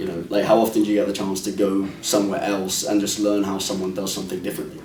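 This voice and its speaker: In a slight British accent, someone talks at a very fast pace over noticeable background noise. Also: man, fairly low pitch for a man, ordinary pitch variation. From London, England. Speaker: actor and producer. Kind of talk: interview.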